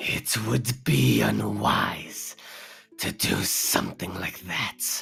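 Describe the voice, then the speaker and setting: A growling, put-on character voice from a man, very deep and low-pitched, with very wide pitch swings at a very slow pace. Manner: ominous, warning.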